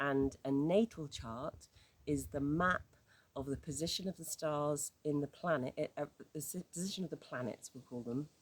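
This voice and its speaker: Ordinary pitch variation with a British accent. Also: woman, very deep, low pitch for a woman, moderate pace. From UK. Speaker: astrology teacher. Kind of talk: informal tutorial. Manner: halting, with many fillers and restarts.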